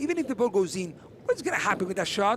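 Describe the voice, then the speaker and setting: A man with a Spanish accent speaks at a high pitch with very wide pitch swings. Noticeable noise fills the background. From Argentina. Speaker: padel commentator, former player. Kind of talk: live sports commentary. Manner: casual, conversational.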